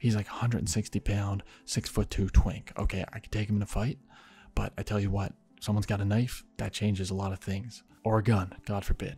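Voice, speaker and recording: A man whispers at a fairly quick pace. Music plays in the background. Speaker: YouTuber, gaming channel storyteller. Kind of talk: casual storytelling. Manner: whispering; animated.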